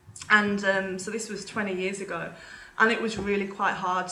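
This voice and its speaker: The woman's pitch is medium and her intonation is monotone and flat. She keeps a moderate pace over noticeable background noise. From England. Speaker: vegan parenting blogger and podcaster. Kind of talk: casual interview chat. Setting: remote call across time zones.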